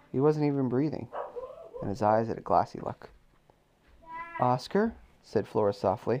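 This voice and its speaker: A man speaks at a moderate pace. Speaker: parent reading bedtime story to child. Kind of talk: reading aloud.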